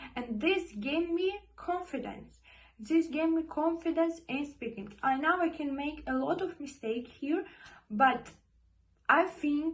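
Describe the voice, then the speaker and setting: With lively intonation, a woman speaks at a fairly slow pace. Her voice is high-pitched. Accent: non-native. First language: not English. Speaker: vlogger. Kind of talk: motivational talk to camera. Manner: halting, repeats words.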